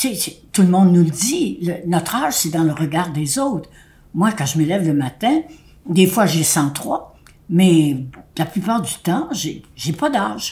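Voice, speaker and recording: A woman's fairly low, somewhat breathy voice with a dark, mellow tone and lively intonation at a fairly slow pace. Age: 90s. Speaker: elderly speaker addressing seniors. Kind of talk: direct-to-camera address. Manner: halting.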